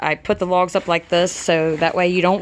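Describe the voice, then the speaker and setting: Using a monotone, flat intonation, a woman with an American accent talks at a moderate pace in a fairly low pitch. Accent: country twang. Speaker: DIY video creator. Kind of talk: tutorial. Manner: casual, filler-heavy.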